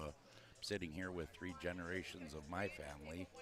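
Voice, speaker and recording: Very deep and low in pitch, the man's voice rumbles along. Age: 60s. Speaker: boxing commentator, former boxer. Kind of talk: live commentary. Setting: ringside at live boxing event.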